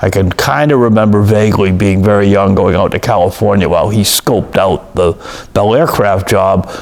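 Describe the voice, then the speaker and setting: With noticeable background noise, a man with an American accent speaks at a moderate pace in a fairly low pitch, with fairly even intonation and very even loudness. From Massachusetts, Boston suburbs. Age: 60s. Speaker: oral history interviewee. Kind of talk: oral history interview. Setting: office. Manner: hesitant, many fillers.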